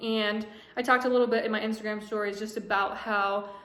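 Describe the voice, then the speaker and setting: Audible room echo surrounds a woman whose fairly high voice stays monotone and flat. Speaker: vlogger. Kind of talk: casual vlog monologue. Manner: fast.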